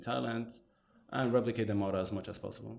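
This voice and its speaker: Fairly even intonation and vocal fry, with audible room echo. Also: man. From Morocco, then Montreal as a teenager. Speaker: digital agency owner. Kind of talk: interview. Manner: hesitant, many fillers.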